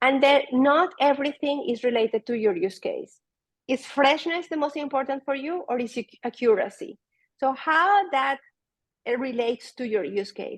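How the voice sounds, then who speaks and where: A high-pitched woman with a Spanish accent and lively intonation, in a dry, close sound with no echo. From Venezuela. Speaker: data product manager. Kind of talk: conference talk.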